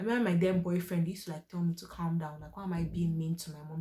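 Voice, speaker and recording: Noticeable background noise accompanies a woman whose voice sits fairly low in pitch. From Nigeria. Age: 20s. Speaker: faith and lifestyle youtuber. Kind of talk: personal testimony and encouragement. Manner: loud.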